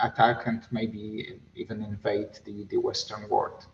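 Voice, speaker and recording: A man talks with a Polish accent. Light background noise sits behind him. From Poland. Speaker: diplomat; panelist. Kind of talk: panel discussion. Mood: earnest, serious. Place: office. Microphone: video call.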